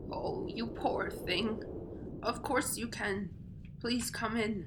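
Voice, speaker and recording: Over loud background noise, a put-on character voice speaks at a very slow pace with a fairly high pitch. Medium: read story. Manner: warm, gentle.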